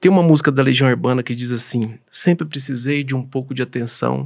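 A man talks in a Goiás accent. The background is quiet. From Goiás, Brazil. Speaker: doctor and professor; professor. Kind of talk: interview. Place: studio. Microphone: studio mic.

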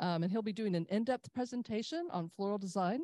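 A woman's dark, mellow voice comes through dry, with no echo and a quiet background. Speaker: club host. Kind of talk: event announcements. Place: hall.

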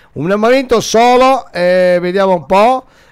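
A man's high-pitched voice with lively intonation, set against a quiet background. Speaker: radio DJ and host; radio DJ, host. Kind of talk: live phone call with a listener. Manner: casual, chatty. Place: studio. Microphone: studio mic.

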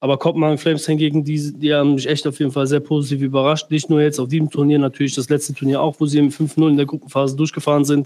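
Very fast and with hardly any pauses, a man speaks at a fairly high pitch in a monotone, flat intonation with very even loudness. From Germany. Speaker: professional esports player. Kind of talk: casual livestream Q&A. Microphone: headset.

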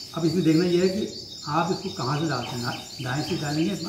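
A man's fairly high voice, with ordinary pitch variation and noticeable background noise. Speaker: yoga instructor. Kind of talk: yoga tutorial instruction to camera. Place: home room. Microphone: camera far.

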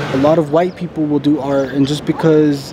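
In a dry recording with no echo but noticeable background noise, a man speaks at a moderate pace with a fairly high pitch. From Santa Fe, New Mexico. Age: young. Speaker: documentary subject. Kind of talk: documentary interview answer. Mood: frustrated, defiant about art.

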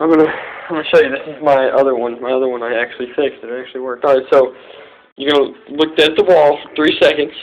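A man talks at a fast pace. His intonation stays fairly even. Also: medium pitch for a man.

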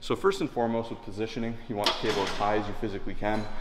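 Over light background noise, a man speaks very fast at a fairly low pitch, his intonation flat and monotone. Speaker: fitness coach. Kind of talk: tutorial. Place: gym.

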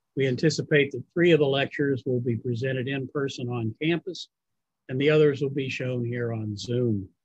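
Against a quiet background, a man with a somewhat breathy voice keeps his intonation fairly even, and the sound is dry with no echo. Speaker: event host. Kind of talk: formal event introduction. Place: home room. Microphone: video call.

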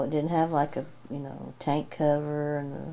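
A woman's very deep, low voice, dark and mellow in tone, at a fairly slow pace in a Southern Appalachian accent. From Appalachia, Tennessee. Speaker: wife. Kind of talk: casual private conversation. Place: home room. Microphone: camera far.

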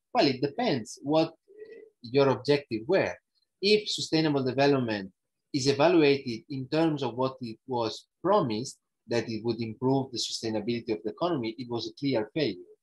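A man with an Italian accent talks at a moderate pace in a somewhat breathy voice. His pitch varies in an ordinary way, and the background is quiet. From northern Italy, Alps. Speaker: ecological economics researcher; guest lecturer. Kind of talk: lecture. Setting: video call. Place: home room. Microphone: earbuds.

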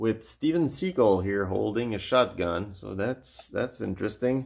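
A man speaks with lively intonation. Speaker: collection tour host. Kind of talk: casual commentary. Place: home room. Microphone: phone near.

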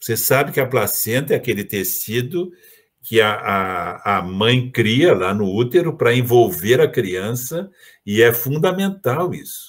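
A man speaks at a fairly slow pace in a somewhat breathy voice. His pitch swings very widely. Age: 70s. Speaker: agronomist and environmental activist; guest. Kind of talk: lecture. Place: home room. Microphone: webcam.

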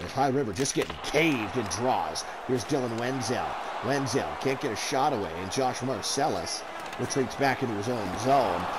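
Noticeable background noise sits under speech delivered at a moderate pace with ordinary pitch variation. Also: man, medium pitch for a man. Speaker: sports commentator and stats keeper. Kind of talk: live hockey play-by-play commentary. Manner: fills gaps with casual 'uh' hesitations, conversational tone.

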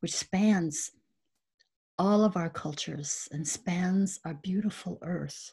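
Somewhat breathy, a woman with an American accent speaks very slowly at medium pitch with fairly even intonation over a quiet background. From South Dakota, US. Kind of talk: panel presentation. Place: home room. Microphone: webcam.

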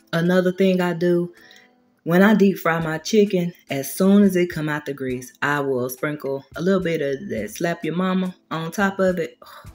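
The speaker keeps a moderate pace with ordinary pitch variation. Faint music plays in the background. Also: woman. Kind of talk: tutorial. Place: kitchen. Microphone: camera far.

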